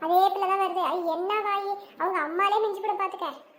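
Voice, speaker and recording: In a squeaky, cartoonish character voice, a woman speaks at an extremely high pitch with monotone, flat intonation at a moderate pace. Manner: fast, scolding.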